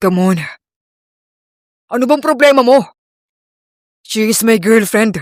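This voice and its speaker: Putting on a character voice, a man speaks high-pitched and strained at a fairly slow pace, with ordinary pitch variation and long, frequent pauses. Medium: read story. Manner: calm, restrained.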